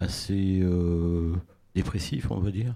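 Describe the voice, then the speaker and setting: A man with a very deep, low pitch and a dark, mellow tone talks very slowly with ordinary pitch variation, in a very clean recording with a silent background. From Tours, France. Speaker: literary critic and journalist. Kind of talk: casual chat. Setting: stage with audience.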